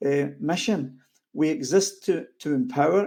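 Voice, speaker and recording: A man with a Scottish accent speaks in a dark, mellow tone at a fairly high pitch. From Scotland. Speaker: network marketing coach and co-founder. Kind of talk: orientation training presentation.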